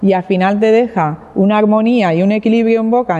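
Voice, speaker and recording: Here a woman speaks at a moderate pace. Her pitch sits in the medium range. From Catalonia, Spain (Barcelona). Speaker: winemaker. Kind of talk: wine tasting presentation. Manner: halting, frequent fillers and repetitions.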